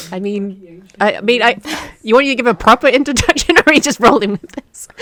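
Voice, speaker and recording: A very fast, lively woman's voice, high in pitch, with a British accent and a dry, close sound with no echo. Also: big swings in loudness. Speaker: podcast guest, game developer. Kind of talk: casual chat.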